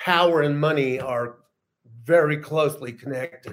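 This man has a normal speaking voice, fairly high in pitch, moving at a fairly slow pace with ordinary pitch variation. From US Southwest, Los Angeles and El Paso. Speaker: writer and magazine founder. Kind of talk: casual chat.

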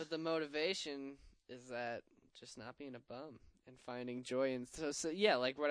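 A man with an unremarkable speaking voice talks fairly quickly, his pitch varying in an ordinary way. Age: 20s. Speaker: skateboarder, co-host. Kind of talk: casual chat. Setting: studio.

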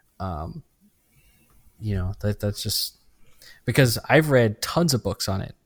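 A man's medium-pitched voice at a moderate pace, very cleanly recorded against a silent background, dry and close with no echo. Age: 30s. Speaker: gaming podcast host. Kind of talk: casual chat.

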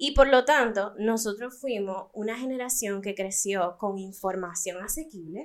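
The voice moves at a fairly slow pace with hardly any pauses, its loudness swinging widely and its pitch varying in an ordinary way, an unremarkable speaking voice. The recording is very clean and the background silent. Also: woman, medium pitch for a woman. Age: 20s. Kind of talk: monologue intro; casual chat.

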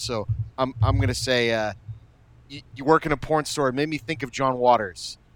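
A man with an unremarkable speaking voice talks at a fairly quick pace and medium pitch. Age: 30s. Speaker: podcast host, former video store clerk. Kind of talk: casual chat.

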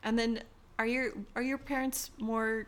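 In a plain, everyday voice, a woman with an American accent speaks at a fairly high pitch. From California. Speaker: podcast host. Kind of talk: casual interview.

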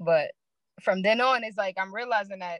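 In a New York accent, a woman speaks at a fairly quick pace with a bright, sharp tone, medium pitch and fairly even intonation, in a dry, close sound with no echo. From Brooklyn, New York. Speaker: barber. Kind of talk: casual chat.

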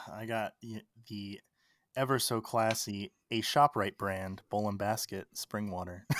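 A man with an American accent and a normal speaking voice talks at a fairly slow pace, his fairly low pitch kept to fairly even intonation, in a dry, close sound with no echo and a very clean recording with a silent background. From Maryland, Baltimore. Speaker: TikTok creator and podcaster. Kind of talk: interview conversation.

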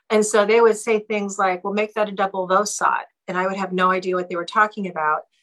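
Fairly quick and bright, sharp in tone, a woman at medium pitch talks with an Alaskan accent. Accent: Alaskan American English. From Alaska (Seward, Anchorage). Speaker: former TV news anchor. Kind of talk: casual interview.

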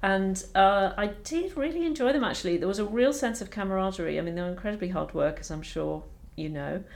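A woman talks at a very fast pace with lively intonation. Her pitch is medium. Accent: slight Scottish. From Scotland, Edinburgh. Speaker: doctor and medical education leader. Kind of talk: interview conversation.

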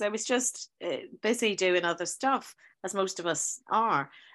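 Against a quiet background, a woman with a Northern Irish accent speaks at a medium pitch. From Northern Ireland. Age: 50s. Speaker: teacher. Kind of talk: casual chat. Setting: video call.

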